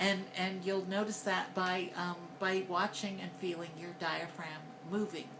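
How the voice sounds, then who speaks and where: A woman talks at a fairly slow pace in a medium pitch with monotone, flat intonation. Noticeable background noise sits behind her. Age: 50s. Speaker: transgender voice coach vlogger. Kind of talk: voice training tutorial. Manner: hesitant, conversational.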